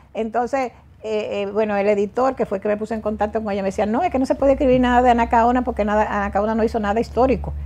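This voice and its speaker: A woman speaks very fast in a fairly high pitch with fairly even intonation. Her tone is dark and mellow. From Dominican Republic, rural countryside. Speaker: author; guest. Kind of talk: interview. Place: studio. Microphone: lapel.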